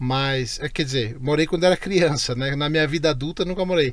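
With a Brazilian accent, a man speaks at a moderate pace and fairly high pitch with lively intonation, the sound dry with no echo. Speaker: podcast co-host. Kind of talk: casual chat. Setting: studio. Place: studio. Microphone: studio mic.

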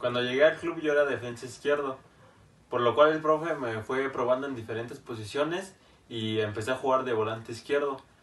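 A man talks at a fairly quick pace with a medium pitch and ordinary pitch variation. Audible room echo surrounds his voice. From Mexico City. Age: young. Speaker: footballer. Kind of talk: interview. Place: home room.

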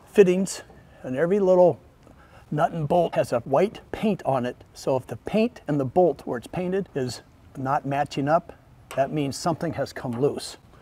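A man speaks in a dark, mellow tone. His pace is moderate. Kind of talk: tutorial. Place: garage.

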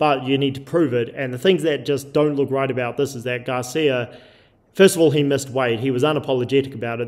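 This man has an unremarkable speaking voice at a medium pitch, with fairly even intonation. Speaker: combat sports show host. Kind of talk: casual debate.

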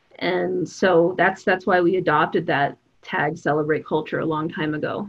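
A woman with an American accent talks at a moderate pace with ordinary pitch variation in a plain, everyday voice. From Denver, Colorado. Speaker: nonprofit CEO and festival producer. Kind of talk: panel discussion.

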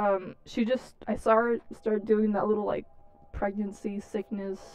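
The tone is clear, smooth and slightly mellow, with a fairly slow pace and little pitch movement. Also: woman, medium pitch for a woman.

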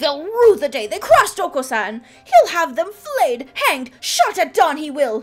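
A woman performs a put-on character voice at a high pitch. Her pitch swings very widely at a moderate pace. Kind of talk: archaic, formal. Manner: pompous, blustering.

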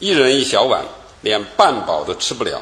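Here a man talks at a moderate pace. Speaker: lecturer giving formal address. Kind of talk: formal lecture, storytelling read aloud. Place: hall. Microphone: podium.

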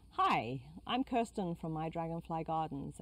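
The woman's voice has a dry sound with no echo. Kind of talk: tutorial intro. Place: garden. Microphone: lapel.

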